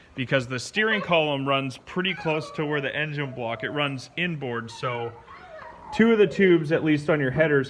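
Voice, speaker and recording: Through audible room echo and noticeable background noise, a man talks at a fairly high pitch and moderate pace with ordinary pitch variation. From Canada. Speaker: car hobbyist vlogger. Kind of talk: casual vlog talk. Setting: home garage, then indoors.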